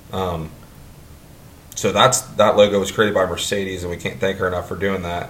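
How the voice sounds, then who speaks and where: A man with an American accent, very deep low pitch, monotone flat intonation, and a somewhat breathy voice. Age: 30s. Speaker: podcast host. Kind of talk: casual chat.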